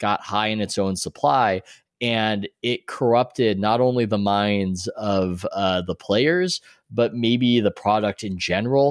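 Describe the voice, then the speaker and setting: Captured in a very clean recording with a silent background and a dry, close sound with no echo, a man with an American accent speaks in a normal speaking voice at medium pitch and a moderate pace. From US West Coast, San Diego. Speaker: sports writer and author. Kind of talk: interview.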